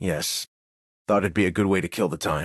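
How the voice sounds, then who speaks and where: In a put-on character voice, a man speaks raspy and very deep at a fairly quick pace with fairly even intonation, the sound dry and close with no echo and the background quiet. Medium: video game.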